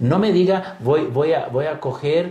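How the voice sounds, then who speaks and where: Audible room echo surrounds a man with a Brazilian accent who speaks at a fairly slow pace in a dark, mellow, somewhat breathy tone. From Brazil, São Paulo. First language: Portuguese (speaking Spanish). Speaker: pastor and missionary. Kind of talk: interview. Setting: studio.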